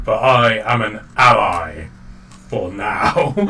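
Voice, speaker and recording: A man's put-on character voice at medium pitch, delivered at a very slow pace amid clear background noise. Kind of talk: ominous, theatrical. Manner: menacing.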